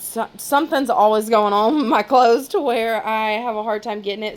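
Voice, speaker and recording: A woman's fairly high voice at a fairly quick pace with ordinary pitch variation. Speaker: vlogger. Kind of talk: casual vlog grocery haul. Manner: fast; chatty, filler-heavy.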